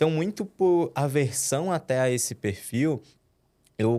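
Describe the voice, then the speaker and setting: On a very clean recording with a silent background, a man's dark, mellow voice moves through very wide pitch swings. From interior of Minas Gerais, Brazil (Timóteo). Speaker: head of sales. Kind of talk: podcast interview. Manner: hesitant, many fillers and repetitions.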